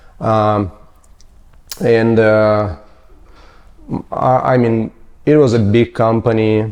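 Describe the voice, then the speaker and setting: A man speaks with a Ukrainian accent. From Ukraine (Mariupol). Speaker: general contractor. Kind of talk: interview, life story. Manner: halting, many fillers.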